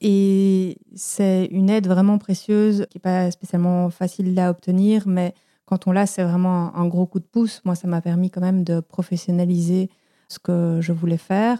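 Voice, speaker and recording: A medium-pitched woman's dark, mellow voice, flat and monotone at a fairly slow pace, dry and close with no echo. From Belgium. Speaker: podcast producer. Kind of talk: interview.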